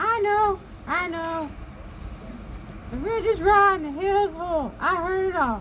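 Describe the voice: Over clear background noise, a put-on character voice at an extremely high pitch moves at a fairly slow pace with long, frequent pauses.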